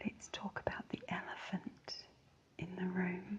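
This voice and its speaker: A woman whispers. She speaks with a New Zealand accent. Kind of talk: ASMR book reading. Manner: soft-spoken.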